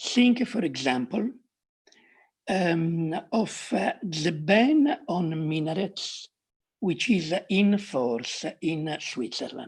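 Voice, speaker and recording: In an Italian accent, a woman with a fairly low, somewhat breathy voice speaks at a very slow pace with very wide pitch swings. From Italy. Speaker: academic panelist. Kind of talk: academic talk. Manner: halting, many fillers.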